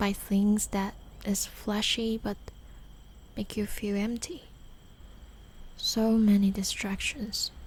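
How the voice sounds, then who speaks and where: The speaker is soft-spoken with a gentle tone, talking at a very slow pace with long, frequent pauses. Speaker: podcast host and storyteller. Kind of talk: soft-spoken late-night podcast / sleep-aid storytelling. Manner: soft-spoken, gentle.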